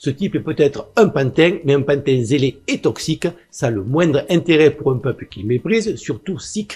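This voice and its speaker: Fairly high in pitch, this man's voice moves through very wide pitch swings. It is somewhat breathy. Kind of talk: political commentary monologue. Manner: fast.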